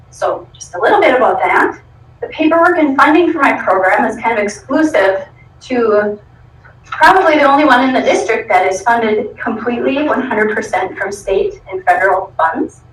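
A woman with a high pitch and very wide pitch swings talks at a moderate pace against noticeable background noise. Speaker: school program coordinator. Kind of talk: presentation to school board. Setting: school board meeting.

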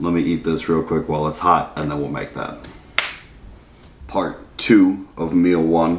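A man talks at a fairly slow pace in a very deep, low voice. His intonation is flat and monotone, with noticeable background noise behind him. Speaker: bodybuilder vlogger. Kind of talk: casual vlog chat. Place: home room. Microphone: camera far.

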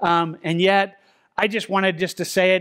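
Over a quiet background, a man speaks in a high voice with fairly even intonation. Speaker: pastor. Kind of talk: sermon. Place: church.

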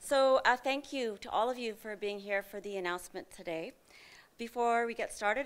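Speaking at a fairly quick pace, a woman keeps her intonation fairly even. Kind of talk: formal opening remarks. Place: hall. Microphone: podium.

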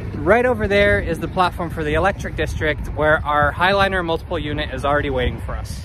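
A man talks at a fairly quick pace. The sound is dry with no echo, though background noise is noticeable. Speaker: train travel video host. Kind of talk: casual vlog chat. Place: station. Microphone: phone near.

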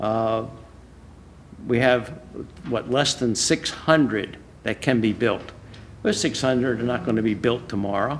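A man at medium pitch, slow-paced with long, frequent pauses and ordinary pitch variation

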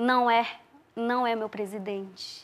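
This is a woman's voice. Her pitch is high. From Brazil, Amazonas, Tikuna village near Colombia-Peru border. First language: Tikuna (speaking Portuguese). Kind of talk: interview.

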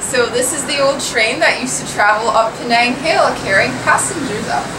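A woman talks at a moderate speed. Background noise is noticeable throughout. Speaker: travel vlogger. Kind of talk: casual vlog chat. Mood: cheerful, smiling. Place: train. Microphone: phone near.

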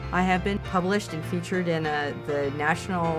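A woman talks at a fairly quick pace. Music plays clearly in the background. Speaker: professional auctioneer. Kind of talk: interview answer.

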